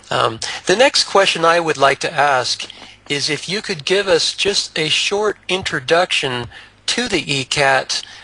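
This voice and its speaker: The speaker goes at a fairly slow pace with lively intonation. Noticeable background noise is present. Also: man, fairly high pitch for a man. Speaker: talk show host. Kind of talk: interview.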